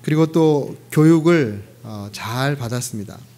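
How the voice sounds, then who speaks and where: A man's fairly high-pitched voice in audible room echo. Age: 50s. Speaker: pastor. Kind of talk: sermon. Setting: church.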